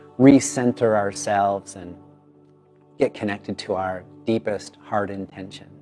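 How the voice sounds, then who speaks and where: Music can be heard behind the speaker. He is a man whose voice sits fairly low. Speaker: yoga teacher. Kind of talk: casual talk to camera. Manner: upbeat, enthusiastic.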